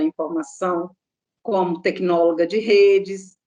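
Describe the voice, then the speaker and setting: At a very slow pace, a woman speaks at medium pitch with lively intonation. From Minas Gerais, Brazil. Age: 60s. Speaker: contact center employee. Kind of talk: interview.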